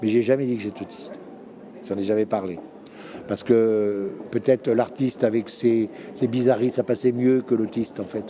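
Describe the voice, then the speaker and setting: Noticeable background noise sits behind a man speaking at a medium pitch with fairly even intonation. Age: 60s. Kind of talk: interview testimony. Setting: conference. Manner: halting.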